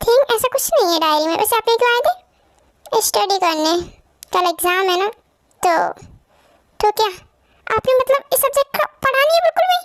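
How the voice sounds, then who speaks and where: Doing a put-on character voice, a woman speaks at an extremely high pitch with lively intonation, a fairly quick pace and long, frequent pauses. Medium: fan dub. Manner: soft, polite, respectful.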